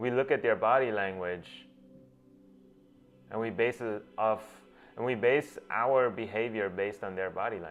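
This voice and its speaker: Spoken with a Gujarati accent at a moderate pace, the voice has ordinary pitch variation and long, frequent pauses, with music in the background. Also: man, fairly low pitch for a man. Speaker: self-help speaker, doctor. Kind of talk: motivational talk. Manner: halting, with many restarts.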